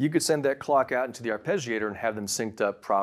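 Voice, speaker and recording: In quiet surroundings, a man talks, his pitch moving up and down in a typical way. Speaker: presenter. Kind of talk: product review talk. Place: studio.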